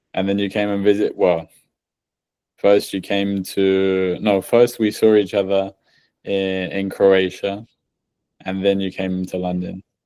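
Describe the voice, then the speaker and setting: A man with an English accent speaks at a fairly slow pace in a fairly low pitch, with a dark, mellow tone and monotone, flat intonation. He leaves long, frequent pauses, and the recording is very clean with a silent background. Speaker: podcast host. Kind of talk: casual chat.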